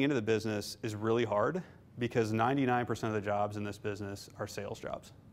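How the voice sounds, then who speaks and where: With a normal speaking voice, a man talks at a moderate pace in a fairly low pitch and fairly even intonation. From Nebraska, Omaha; Nebraska. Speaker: investment fund manager; guest. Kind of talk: lecture. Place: classroom.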